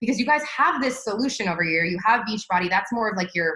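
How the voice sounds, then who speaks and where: Here a woman speaks with lively intonation. Her pace is fairly quick. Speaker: marketing trainer. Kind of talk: live online training. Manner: fast; animated.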